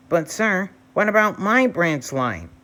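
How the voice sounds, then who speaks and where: A put-on character voice speaks at a middle pitch and a fairly slow pace. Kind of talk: bedtime story. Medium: read story. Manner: cheeky, boastful.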